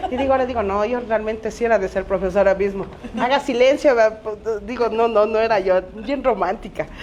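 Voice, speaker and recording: There is noticeable background noise behind this woman's voice. She talks at a fairly quick pace with a fairly high pitch and ordinary pitch variation. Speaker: teacher and Afro-Ecuadorian activist. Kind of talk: panel discussion.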